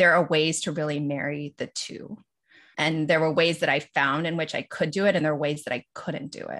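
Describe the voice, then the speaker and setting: A woman's very deep, low voice in an American accent, fairly quick and fairly even in intonation, over a quiet background. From Los Angeles, US. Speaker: lawyer and podcast co-host. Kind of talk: casual interview chat.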